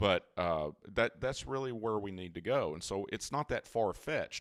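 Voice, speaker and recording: Dry and close with no echo, a man speaks at a moderate pace with ordinary pitch variation. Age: 60s. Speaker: cybersecurity company CEO. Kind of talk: interview. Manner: halting.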